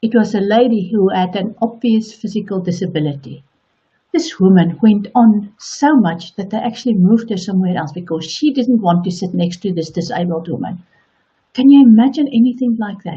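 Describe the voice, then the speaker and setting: A woman with a South African accent talks at a fairly quick pace and a medium pitch. Her intonation is lively, and her voice is somewhat breathy. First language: Afrikaans. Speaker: online coach. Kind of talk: motivational talk.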